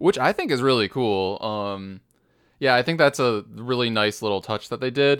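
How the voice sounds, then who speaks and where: A man talks at a moderate pace and a medium pitch, with ordinary pitch variation. It is an ordinary speaking voice in a very clean recording with a silent background. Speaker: podcast host. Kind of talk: casual banter about a game.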